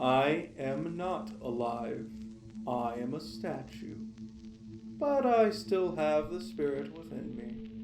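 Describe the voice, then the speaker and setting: A man in a put-on character voice, talking at a very slow pace over clear background noise. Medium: audio drama. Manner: curt, grumpy.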